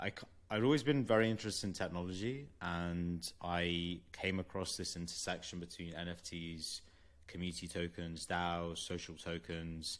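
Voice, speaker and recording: A man with a London accent speaks at a very deep, low pitch. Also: ordinary pitch variation, moderate pace. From London, England. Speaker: venture capital investor. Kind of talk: interview.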